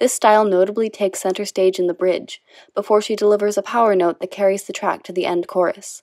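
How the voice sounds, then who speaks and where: Quiet and dry, with a close sound and no echo, a woman at medium pitch speaks at a fairly quick pace. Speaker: video essay narrator. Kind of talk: scripted video essay narration.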